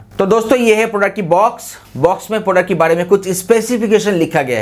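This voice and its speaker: Amid noticeable background noise, a man talks at a moderate pace. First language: Bengali (speaking Hindi). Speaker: product review YouTuber. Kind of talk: product review tutorial.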